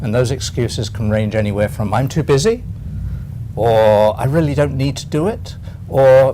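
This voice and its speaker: A man speaks at a moderate pace with a medium-pitched voice and ordinary pitch variation over noticeable background noise. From England. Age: 70s. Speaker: retired accountant and LinkedIn consultant. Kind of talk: interview.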